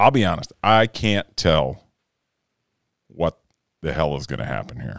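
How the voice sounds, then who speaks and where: Vocal fry runs through this man's voice as his pitch swings very widely. He speaks at a fairly slow pace, and the sound is dry and close with no echo. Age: 40s. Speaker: sports betting podcast host. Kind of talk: casual chat. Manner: animated.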